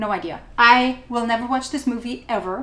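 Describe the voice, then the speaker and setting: An animated tone in a German accent at a moderate pace. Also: woman. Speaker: photo editing tutorial maker. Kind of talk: tutorial.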